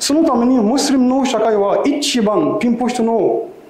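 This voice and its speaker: There's audible room echo as a man talks at a fairly slow pace, his extremely high pitch making very wide swings. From Egypt. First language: Arabic (speaking Japanese). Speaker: imam. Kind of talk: lecture. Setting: mosque with audience. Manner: simple non-native phrasing. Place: hall. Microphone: lapel.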